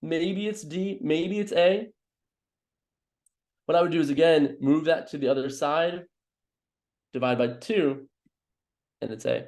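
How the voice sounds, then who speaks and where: With lively intonation and a fairly high pitch, a man speaks at a fairly slow pace. He leaves long, frequent pauses. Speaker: math tutor. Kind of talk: live online tutoring session. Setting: live stream with chat. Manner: animated.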